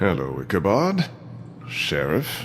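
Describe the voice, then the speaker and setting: Over clear background noise, a man does a put-on character voice with very deep, low pitch. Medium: video game. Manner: smug, sneering.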